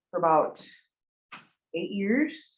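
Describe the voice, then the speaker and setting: A woman speaks at a fairly slow pace. She has a Montana accent. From Montana, Blackfeet Reservation (Browning). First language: Blackfeet. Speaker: university student. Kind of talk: public testimony at a commission meeting. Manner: hesitant, many fillers.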